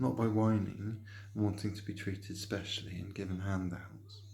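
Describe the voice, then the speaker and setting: A dark, mellow, somewhat breathy voice speaks in a monotone, flat intonation, with audible room echo around it. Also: man. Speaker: painter decorator vlogger. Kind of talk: opinion monologue. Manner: halting, many fillers.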